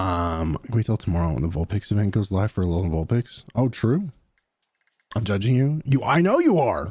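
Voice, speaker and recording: A man's fairly low, somewhat breathy voice at a fairly quick pace, with lively intonation, a dry, close sound with no echo, and a very clean recording over a silent background. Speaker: gaming streamer. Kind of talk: casual live stream chat. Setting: live stream.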